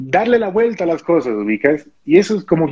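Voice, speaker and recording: Recorded with a dry, close sound with no echo, a man speaks at a fairly quick pace, his pitch swinging very widely. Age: 20s. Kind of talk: interview.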